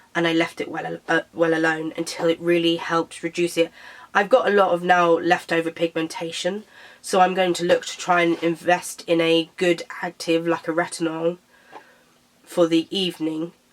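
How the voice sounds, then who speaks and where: With a British accent, a woman speaks at a fairly low pitch and moderate pace in a monotone, flat intonation. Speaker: beauty vlogger. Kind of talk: casual product review vlog. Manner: hesitant, with fillers.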